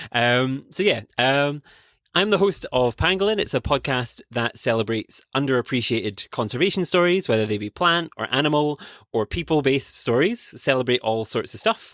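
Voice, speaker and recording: A man with a Scottish accent, lively intonation and a moderate pace, on a very clean recording with a silent background. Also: medium pitch for a man, dry, close sound with no echo. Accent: Scottish, noticeable. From Scotland. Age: 20s. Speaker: conservation podcast host and PhD student. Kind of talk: interview conversation.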